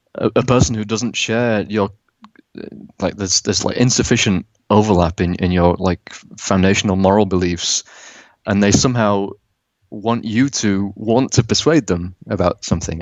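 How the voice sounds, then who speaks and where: Moderate pace with ordinary pitch variation and long, frequent pauses. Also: man. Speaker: animator who makes anti-political propaganda videos. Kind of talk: casual interview conversation. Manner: soft-spoken; halting, many fillers and repetitions.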